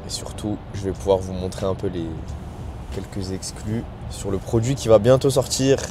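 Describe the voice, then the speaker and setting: Someone speaks at a moderate pace amid noticeable background noise. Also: man. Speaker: sneaker and basketball vlogger. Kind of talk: travel vlog. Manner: animated.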